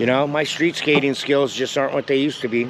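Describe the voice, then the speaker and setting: A man's medium-pitched voice with an American accent, flat monotone delivery, a fairly quick pace and noticeable background noise. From US West Coast, San Diego. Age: 60s. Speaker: skateboard reviewer. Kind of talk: product review vlog. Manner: casual, rambling with filler words.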